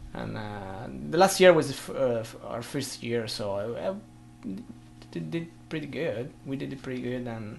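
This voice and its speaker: Vocal fry runs through a voice with very wide pitch swings and big swings in loudness, heard with audible room echo. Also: man, medium pitch for a man, moderate pace. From Italy, from an island. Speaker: blues guitarist. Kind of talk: casual interview. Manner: halting.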